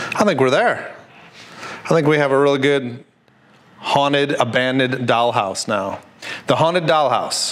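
A man speaks at a moderate pace with ordinary pitch variation. His loudness stays very even throughout. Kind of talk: tutorial. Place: workshop. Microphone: lapel.

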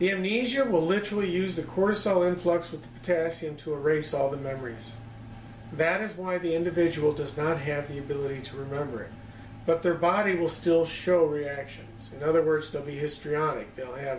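Light background noise and audible room echo accompany a man speaking at a fairly quick pace. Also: ordinary pitch variation. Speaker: lecturer on psychology. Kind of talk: lecture. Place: home room. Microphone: camera far.

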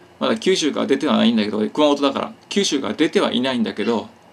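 A man talks at a very fast pace with very wide pitch swings. Vocal fry runs through his voice. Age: 40s. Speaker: YouTuber; vlogger. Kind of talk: casual monologue. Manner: hyper, excitable; stumbling speech. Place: home room. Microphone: phone near.

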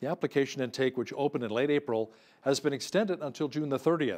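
Rushing at a very fast pace, a man with a Canadian accent shows ordinary pitch variation. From Canada. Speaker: news anchor. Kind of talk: news reading. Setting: studio. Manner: formal. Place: studio.

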